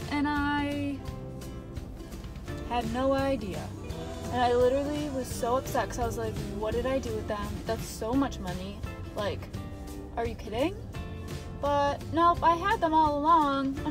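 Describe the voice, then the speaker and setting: With clear music in the background, a woman speaks at a fairly slow pace with long, frequent pauses, in a dry sound with no echo. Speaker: vlogger. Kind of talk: casual vlog chat. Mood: relieved, animated storytelling. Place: car. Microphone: phone near.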